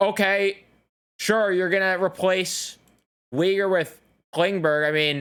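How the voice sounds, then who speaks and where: A very slow pace with long, frequent pauses. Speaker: hockey YouTuber. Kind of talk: reaction commentary. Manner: halting, stuttering.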